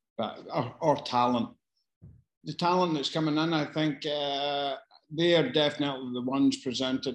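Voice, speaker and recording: Man in a strong Glasgow accent with fairly even intonation. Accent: strong Glasgow Scottish. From Scotland. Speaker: casting director. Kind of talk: online Q&A session. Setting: video call. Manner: casual, sweary, self-deprecating; halting, hesitant delivery.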